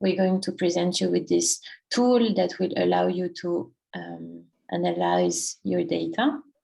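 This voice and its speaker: A woman with a French accent, at a fairly slow pace. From France. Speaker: workshop presenter. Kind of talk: presentation. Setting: online workshop, screen sharing. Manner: halting, many fillers.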